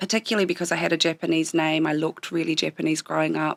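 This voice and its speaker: A woman's voice with vocal fry and fairly even intonation, dry and close with no echo. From southern New Zealand (Otago/Southland). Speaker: small business owner. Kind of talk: interview.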